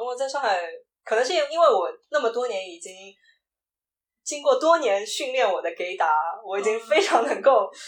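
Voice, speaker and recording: Loudness swings a lot and the pitch moves very widely. The pace is moderate, broken by long, frequent pauses. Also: woman, high pitch for a woman. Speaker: video producer and LGBTQ podcaster. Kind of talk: casual interview chat.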